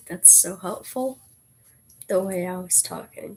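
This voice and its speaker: A woman speaks in a somewhat breathy voice. Her tone is dark and mellow. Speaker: live streamer. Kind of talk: casual chat.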